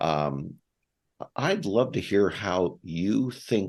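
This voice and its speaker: Lively intonation marks this man's speech, delivered with an American accent. The background is quiet. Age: 60s. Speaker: podcast host. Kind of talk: interview.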